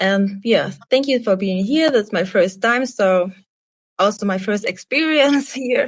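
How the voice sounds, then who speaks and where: In a German accent, a woman speaks at a fairly slow pace, somewhat breathy, with a fairly high pitch and lively intonation. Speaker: artist, podcast guest. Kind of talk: casual chat. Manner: halting.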